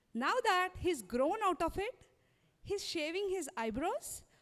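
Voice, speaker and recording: Fairly slow in pace, the voice moves through very wide pitch swings. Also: woman. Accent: Indian. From India. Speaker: stand-up comedian. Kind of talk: stand-up. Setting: stage with audience.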